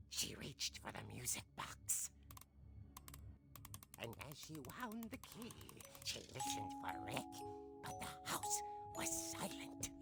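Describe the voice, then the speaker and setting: Over loud background music, a put-on character voice moves at a fairly slow pace with long, frequent pauses. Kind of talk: horror comic narration. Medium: video game. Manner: wry, suspenseful.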